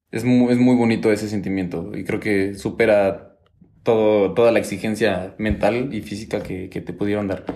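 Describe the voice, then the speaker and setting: A man with a Mexican accent speaks at a moderate pace in a dark, mellow tone, fairly low in pitch with monotone, flat intonation and audible room echo. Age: 20s. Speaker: engineering student and hip hop dancer. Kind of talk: casual interview chat.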